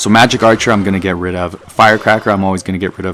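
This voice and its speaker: Music plays in the background as a man talks at a very fast pace. His fairly low voice carries a slight Canadian accent. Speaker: mobile game YouTuber. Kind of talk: gameplay commentary. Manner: animated.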